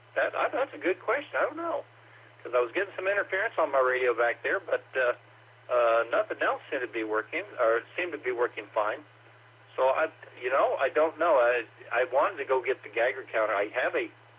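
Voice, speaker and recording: A man talks at a fairly quick pace with an American accent. Noticeable background noise runs under the recording. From Oklahoma. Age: 60s. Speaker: amateur radio operator checking into a net. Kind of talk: radio net check-in, casual chat. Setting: two-way radio transmission. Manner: halting, many fillers.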